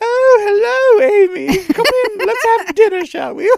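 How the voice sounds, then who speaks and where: A woman speaks in a squeaky put-on character voice, extremely high in pitch. Her intonation is lively and her pace fairly slow. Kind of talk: formal, refined.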